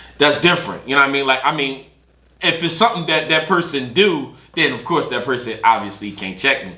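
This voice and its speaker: Fairly high-pitched male speech at a moderate pace, with audible room echo and noticeable background noise. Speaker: podcast co-host. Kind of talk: casual chat. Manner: halting, self-interrupting.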